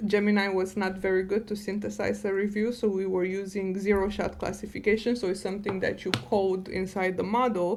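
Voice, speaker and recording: Over music in the background, a woman with a non-native accent talks at a fairly quick pace and medium pitch, her intonation fairly even and her speech almost free of pauses. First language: not English. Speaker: data science director and podcast guest. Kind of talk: podcast interview.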